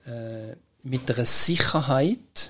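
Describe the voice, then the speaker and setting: In a Swiss accent, a man with a medium pitch talks at a very slow pace, his pitch varying in an ordinary way. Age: 70s. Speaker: entrepreneur and inventor. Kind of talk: interview.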